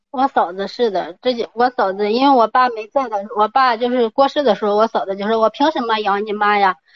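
At a fairly quick pace, a woman speaks with fairly high pitch and ordinary pitch variation. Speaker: caller, stay-at-home mother. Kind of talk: call-in advice. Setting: phone call. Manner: fast, hurried. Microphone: poor phone signal.

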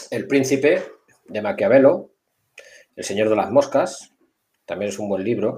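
At a fairly slow pace with long, frequent pauses, this man speaks at a medium pitch, somewhat breathy, with lively intonation, a dark, mellow tone and big swings in loudness. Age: 50s. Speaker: security director. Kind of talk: casual interview.

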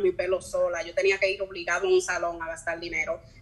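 Amid noticeable background noise, a woman speaks at medium pitch and a fairly quick pace in a monotone, flat delivery. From US, New York City. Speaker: single mother. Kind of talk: casual chat.

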